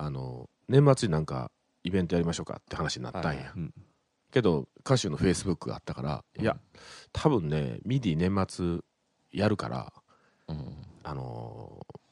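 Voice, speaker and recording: With a Kansai accent, a man talks at a moderate pace in a very deep, low voice with vocal fry, very wide pitch swings, big swings in loudness and long, frequent pauses, all in a dry, close sound with no echo. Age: 40s. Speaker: radio host. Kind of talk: casual chat.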